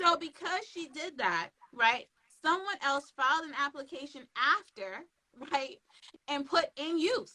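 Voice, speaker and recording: A woman's raised, projected voice, high-pitched and bright with a sharp edge, lively in intonation, swinging widely in loudness at a fairly slow pace. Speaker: trademark attorney. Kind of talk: live interview. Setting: Instagram live stream.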